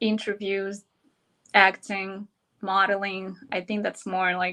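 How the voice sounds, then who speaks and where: Speaking at a fairly slow pace, a woman with a Russian accent uses a medium pitch and a bright, sharp tone. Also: quiet background. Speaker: model and entrepreneur. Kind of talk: interview.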